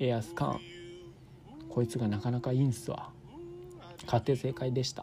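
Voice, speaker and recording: A man with a medium pitch speaks at a fairly quick pace. Long pauses come often. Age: 20s. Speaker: podcast host. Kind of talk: casual solo monologue. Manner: animated.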